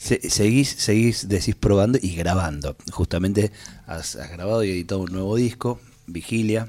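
At a moderate pace, a man talks in a fairly low pitch with ordinary pitch variation, a normal speaking voice. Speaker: radio host. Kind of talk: radio interview. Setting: radio studio.

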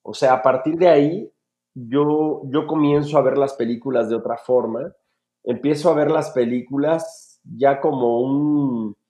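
A dark, mellow tone at a fairly slow pace over a quiet background. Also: man, fairly high pitch for a man. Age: 40s. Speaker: film director and motivational speaker. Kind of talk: casual interview. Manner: animated.

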